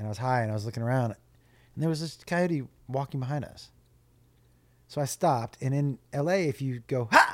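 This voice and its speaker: A man's animated, medium-pitched voice at a fairly quick pace, with ordinary pitch variation and long, frequent pauses, on a very clean recording with a silent background. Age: 50s. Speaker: stand-up comedian. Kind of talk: casual chat.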